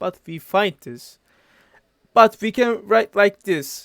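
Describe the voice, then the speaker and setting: A man speaks at a very slow pace with a non-native accent. The sound is dry and close, with no echo. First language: not English. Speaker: physics tutor. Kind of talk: tutorial. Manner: halting.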